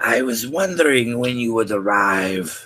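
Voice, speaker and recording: A man puts on a character voice. It is raspy and moves at a moderate pace. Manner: soft, quiet.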